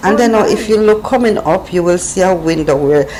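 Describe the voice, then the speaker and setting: Speaking fairly quickly, a woman has a Jamaican accent, with noticeable background noise behind her. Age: 50s. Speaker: travel vlogger. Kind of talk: casual travel vlog narration.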